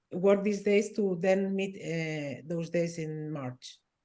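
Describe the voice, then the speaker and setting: This woman has a dark, mellow tone and a fairly low pitch. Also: big swings in loudness. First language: not English. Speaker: design lab organizer. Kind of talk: online meeting discussion.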